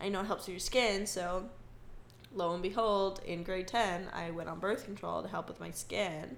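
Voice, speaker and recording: At a moderate pace, a woman talks with vocal fry, a medium pitch and fairly even intonation. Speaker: podcast co-host. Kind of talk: casual chat.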